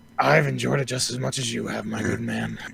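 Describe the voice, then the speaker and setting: A man does a put-on character voice, raspy and very deep, with very wide pitch swings. He talks at a fairly quick pace over clear background noise. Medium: actual play. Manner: smooth, ingratiating, salesman-like.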